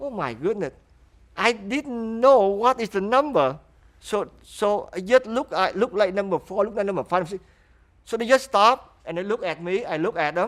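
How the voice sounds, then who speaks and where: Here a man speaks at a moderate pace with a high pitch. His intonation is lively. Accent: Vietnamese. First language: Vietnamese. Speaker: refugee interviewee. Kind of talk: interview testimony.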